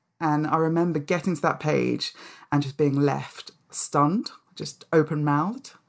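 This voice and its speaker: In a London accent, a woman speaks with a very deep, low pitch and fairly even intonation over a quiet background. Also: fairly slow pace. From London, England (Nigerian-born). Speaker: author and charity public engagement head. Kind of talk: casual interview chat.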